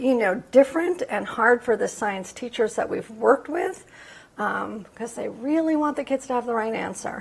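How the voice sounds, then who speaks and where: A woman's high-pitched voice, lively in intonation, fairly slow, with big swings in loudness over noticeable background noise. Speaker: science education researcher. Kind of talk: lecture. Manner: hesitant, many fillers.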